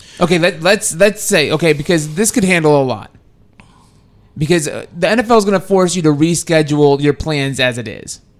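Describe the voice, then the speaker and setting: A man with an unremarkable speaking voice, fairly high in pitch with ordinary variation, at a fairly quick pace, in an American accent. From Texas. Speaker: radio producer and co-host. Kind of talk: casual chat.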